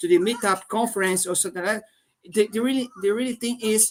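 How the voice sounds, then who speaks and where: The speaker has a Portuguese accent. Noticeable background noise runs underneath. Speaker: tech community host. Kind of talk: live stream discussion. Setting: live stream from tech conference. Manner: halting, many repetitions.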